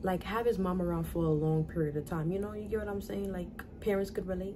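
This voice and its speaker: Through audible room echo, a woman talks at a very fast pace with a New York accent and fairly even intonation. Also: medium pitch for a woman. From US Northeast, New York (the Bronx). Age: 20s. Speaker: vlogger, young mother. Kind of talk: casual Q&A vlog. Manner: casual, conversational.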